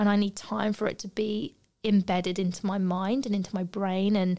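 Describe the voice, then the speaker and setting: In a British accent, a woman of medium pitch speaks at a moderate pace with a dark, mellow tone. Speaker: podcast host, barber and yoga teacher. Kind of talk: casual chat. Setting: studio. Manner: animated.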